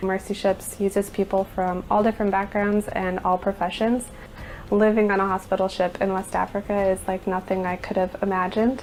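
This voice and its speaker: An American accent carries a fairly quick pace and monotone, flat intonation. There is noticeable background noise. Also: woman, medium pitch for a woman. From US Midwest, Nebraska. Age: 30s. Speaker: ship finance manager. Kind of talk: interview testimony. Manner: hesitant with fillers.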